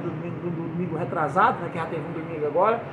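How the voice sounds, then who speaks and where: A man talks with ordinary pitch variation, with room echo that can be heard and noticeable background noise. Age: 60s. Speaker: preacher. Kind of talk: sermon. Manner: halting.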